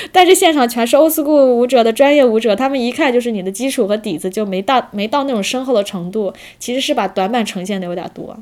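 A woman with a high pitch talks at a very fast pace with lively intonation and hardly any pauses. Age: 30s. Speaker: street dance teacher, former office worker. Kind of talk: casual chat. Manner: halting, many fillers.

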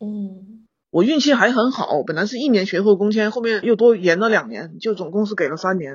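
A woman talks at a fairly quick pace in an ordinary speaking voice. Her pitch is medium, with lively intonation. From Guizhou, China. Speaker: animator and non-consumerist traveller. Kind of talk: casual chat.

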